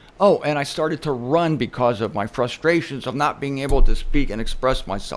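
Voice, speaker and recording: Talking at a fairly quick pace, a man with an unremarkable speaking voice keeps a fairly high pitch that varies in an ordinary way. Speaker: religious speaker. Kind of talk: casual talk to camera.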